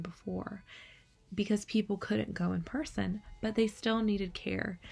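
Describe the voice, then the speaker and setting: A woman speaks in a somewhat breathy voice. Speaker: counseling student. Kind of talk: video reflection for class.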